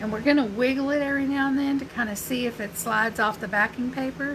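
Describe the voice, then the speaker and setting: A woman with an American accent at a fairly quick pace, over noticeable background noise. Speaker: crafter and small business owner. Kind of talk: live craft tutorial. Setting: Facebook live stream. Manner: casual, chatty.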